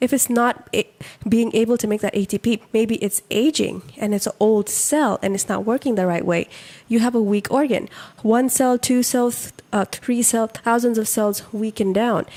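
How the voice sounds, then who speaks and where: The tone is dark and mellow, with fairly even intonation at a moderate pace. The sound is dry and close, with no echo. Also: woman, fairly high pitch for a woman. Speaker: podcast co-host. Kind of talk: casual educational chat. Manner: explanatory, lecture-like.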